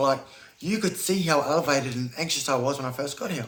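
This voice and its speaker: The speech comes at a very fast pace with noticeable background noise. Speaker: YouTuber. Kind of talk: casual chat. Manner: loud.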